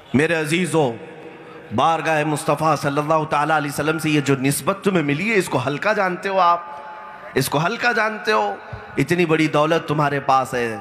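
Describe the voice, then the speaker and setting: A man speaks with very even loudness. Noticeable background noise is present. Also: fairly high pitch for a man, ordinary pitch variation. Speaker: Islamic scholar giving a sermon. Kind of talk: passionate Islamic sermon. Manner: emotional, oratorical, rhetorical questions.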